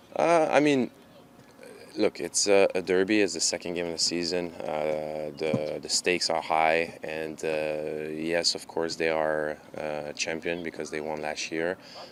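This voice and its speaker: A man with a Quebec accent speaks in a very deep, low voice over noticeable background noise. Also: fairly even intonation, fairly slow pace. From Quebec, Montreal. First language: French. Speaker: professional soccer goalkeeper. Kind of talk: press conference interview. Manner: halting, many fillers.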